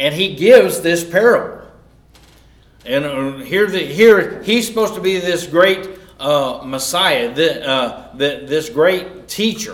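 Over noticeable background noise, a man with a Southern US accent speaks very slowly in a high voice with lively intonation. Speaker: Bible class teacher. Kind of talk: sermon-style Bible lesson. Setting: church class. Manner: informal, conversational, teaching.

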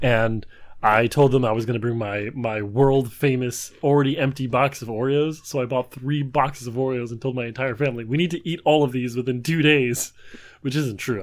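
At a fairly quick pace, a man with an ordinary speaking voice talks in a medium pitch with ordinary pitch variation, in a very clean recording with a silent background. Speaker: trivia podcast co-host, does the editing. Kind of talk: casual banter between brothers.

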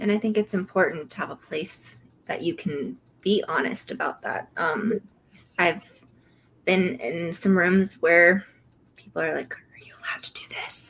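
Long, frequent pauses mark a woman speaking at a moderate pace and medium pitch with ordinary pitch variation. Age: 30s. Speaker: recovery podcast co-host. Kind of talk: casual interview chat. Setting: live stream.

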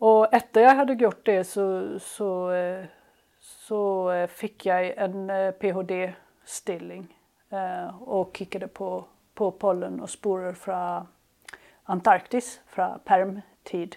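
Over a silent background in a very clean recording, a woman speaks at a very slow pace with a medium pitch and fairly even intonation. Her tone is dark and mellow, and her loudness swings widely. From southern Sweden, Skåne (Helsingborg). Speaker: palynologist researcher. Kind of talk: interview. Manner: halting, many fillers and repetitions.

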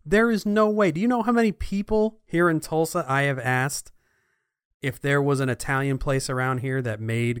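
A man with an American accent, medium in pitch and animated in tone, with very wide pitch swings on a very clean recording with a silent background. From New Jersey. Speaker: podcast co-host, audio and video editor. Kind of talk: casual chat.

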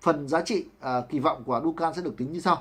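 A man at a very fast pace. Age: 40s. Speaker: book reviewer. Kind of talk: book summary talk. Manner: halting, many fillers.

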